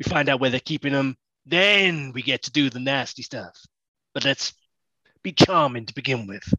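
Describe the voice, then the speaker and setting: A man talks at a fairly quick pace in a put-on character voice. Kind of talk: tough-guy mercenary talk. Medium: actual play. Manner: cocky, blunt, streetwise.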